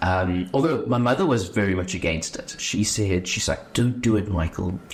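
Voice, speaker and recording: A man's fairly low voice with a Johannesburg accent and lively intonation, against noticeable background noise. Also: moderate pace. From South Africa, Johannesburg East Rand. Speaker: actuary. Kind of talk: podcast interview. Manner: casual, conversational.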